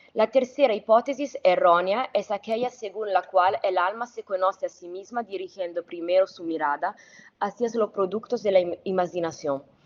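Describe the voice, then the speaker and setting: With a non-native accent, a woman talks at a medium pitch with ordinary pitch variation. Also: moderate pace, big swings in loudness. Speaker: academic researcher. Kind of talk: conference talk. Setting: remote video link. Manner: formal, read from script; occasional stumbles.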